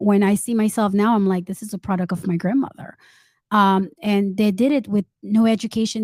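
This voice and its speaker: On a very clean, dry, close recording with no echo and a silent background, a woman speaks at a moderate pace in a somewhat breathy, medium-pitched voice. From Saint Martin, Haitian parents; moved to US at 14. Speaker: entrepreneur and author. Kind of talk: interview. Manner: halting, many fillers.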